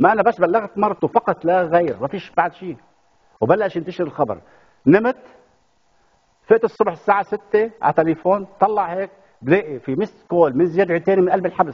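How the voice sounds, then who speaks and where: Against a quiet background, a man talks at a high pitch. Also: ordinary pitch variation, moderate pace. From Lebanon. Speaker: playwright and theatre director; talk show guest. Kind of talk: TV talk show interview. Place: studio. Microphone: lapel.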